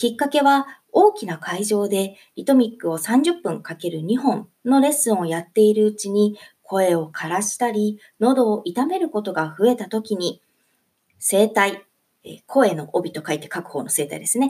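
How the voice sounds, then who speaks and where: The tone is dark and mellow, with lively intonation and a cheerful sound. Loudness rises and falls in big swings. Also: woman, moderate pace. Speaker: solo podcast host and eurythmics teacher. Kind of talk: solo podcast talk.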